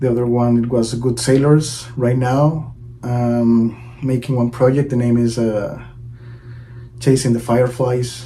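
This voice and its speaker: A man's medium-pitched voice in a Venezuelan accent, fairly slow and monotone, with flat intonation, audible room echo and noticeable background noise. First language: Spanish. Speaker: drummer. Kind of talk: promotional video intro.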